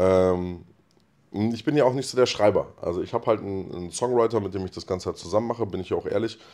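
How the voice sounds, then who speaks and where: Over a quiet background, a man talks at a very fast pace in a fairly low pitch, his tone dark and mellow and his intonation lively. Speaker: rapper. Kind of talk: casual chat. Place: studio. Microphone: handheld.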